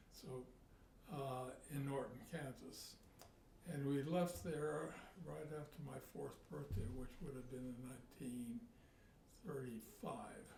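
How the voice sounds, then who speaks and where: A man's fairly high voice with lively intonation, a very slow pace, long and frequent pauses, and audible room echo. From US Midwest. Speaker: interviewee recounting family history. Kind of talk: oral history interview. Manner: halting.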